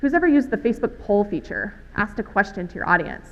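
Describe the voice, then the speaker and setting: A very fast pace and lively intonation in an American accent. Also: woman. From Alabama, US South. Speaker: conference speaker on healthcare social media. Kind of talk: conference talk.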